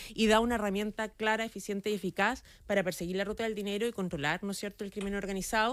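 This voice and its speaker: Fairly even intonation carries words delivered at a very fast pace. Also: woman, medium pitch for a woman. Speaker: government minister. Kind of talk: radio interview.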